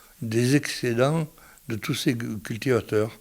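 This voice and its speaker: A man talks very slowly, his medium pitch showing ordinary pitch variation. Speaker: seed merchant. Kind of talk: interview answer. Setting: radio interview.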